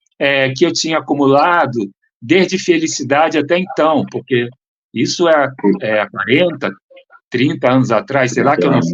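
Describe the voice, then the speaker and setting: At a moderate pace, a man speaks in a fairly high pitch with ordinary pitch variation and long, frequent pauses. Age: 60s. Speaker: acting mentor and teacher. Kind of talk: interview.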